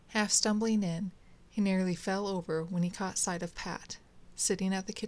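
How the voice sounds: Fairly even in intonation, it is a natural reading voice.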